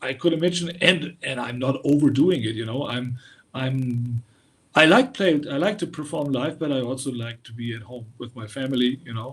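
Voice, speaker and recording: Somewhat breathy, this man's medium-pitched voice moves at a moderate pace with ordinary pitch variation and big swings in loudness. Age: 60s. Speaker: heavy metal musician. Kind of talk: interview. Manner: halting, many repetitions.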